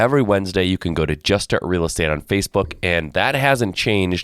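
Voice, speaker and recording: A very deep, low male voice, dry and close with no echo, on a very clean recording with a silent background. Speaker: real estate podcast host. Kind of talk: podcast Q&A intro.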